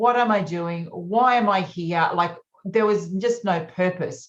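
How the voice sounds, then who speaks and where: Here is a woman with an Australian accent. Her pitch is medium. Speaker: naturopath and menopause coach. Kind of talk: podcast interview.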